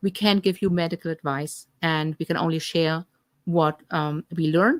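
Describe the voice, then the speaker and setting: In a German accent, a woman speaks at a fairly low pitch and moderate pace with fairly even intonation, the sound dry and close with no echo. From Germany. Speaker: health coach. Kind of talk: live stream Q&A. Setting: live stream.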